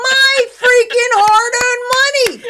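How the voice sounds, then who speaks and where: A woman is speaking. Her voice is loud. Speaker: podcast host. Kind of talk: casual chat. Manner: animated.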